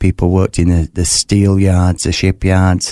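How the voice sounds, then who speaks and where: Very deep and low, a man's voice carries a Yorkshire accent and a dark, mellow tone. He speaks at a moderate pace with monotone, flat intonation on a very clean recording with a silent background. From West Yorkshire, northern England. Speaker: author, burn survivor telling his faith story. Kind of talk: interview testimony. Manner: halting, many fillers and repetitions.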